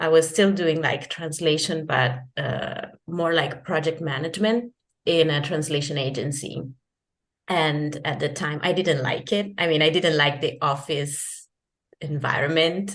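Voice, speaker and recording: Someone speaks at a fairly slow pace with an Italian accent and ordinary pitch variation. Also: woman, very deep, low pitch for a woman. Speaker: freelance translator and digital nomad. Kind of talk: interview. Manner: halting, many restarts and fillers.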